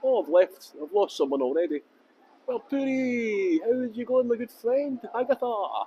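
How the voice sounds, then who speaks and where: A man with a Scottish accent, an extremely high pitch, very wide pitch swings, a dark, mellow tone, and a fairly slow pace. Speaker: tour guide. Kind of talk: live-streamed walking tour. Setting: outdoors. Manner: deliberately clear tour guide voice.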